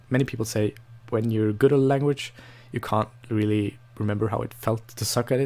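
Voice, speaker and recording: Speaking at a medium pitch with a non-native accent, a man keeps his intonation fairly even. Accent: non-native English, noticeable. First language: Norwegian. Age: 20s. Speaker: language learning vlogger. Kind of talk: casual vlog monologue. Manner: hesitant, many fillers and restarts.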